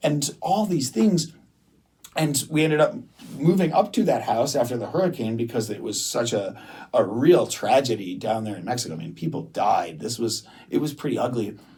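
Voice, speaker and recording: Vocal fry and a relaxed tone in an American accent, with very wide pitch swings at a moderate pace. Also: man, medium pitch for a man. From US Midwest, Detroit, Michigan. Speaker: restaurant owner and entrepreneur. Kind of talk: interview podcast. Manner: conversational, relaxed.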